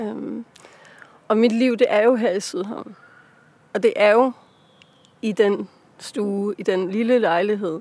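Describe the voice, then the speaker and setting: Her pitch is fairly high for a woman. She talks very slowly, with long, frequent pauses. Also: ordinary pitch variation. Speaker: author. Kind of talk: casual interview. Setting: outdoors in a park. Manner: hesitant, many fillers.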